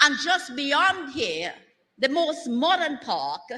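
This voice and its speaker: A woman uses a raised, projected voice. Her pace is very slow. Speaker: government minister / political speaker. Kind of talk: rousing political rally speech. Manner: rousing, energetic, emphatic.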